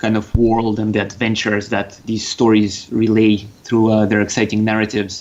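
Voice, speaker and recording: This man talks with a slight Russian accent. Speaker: game designer. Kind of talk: podcast interview.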